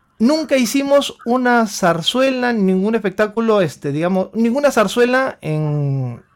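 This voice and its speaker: A man speaks very slowly. His pitch rises and falls over a very wide range. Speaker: opera tenor. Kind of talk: casual chat. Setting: remote call.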